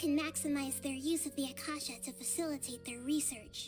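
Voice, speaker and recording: A female-sounding, put-on character voice moves at a moderate pace over clear music in the background. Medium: video game. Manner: soft, measured, thoughtful.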